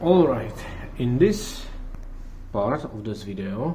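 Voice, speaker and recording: A man with a non-native accent at a very slow pace, in audible room echo. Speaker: car hobbyist YouTuber. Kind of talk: tutorial. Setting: garage. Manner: halting.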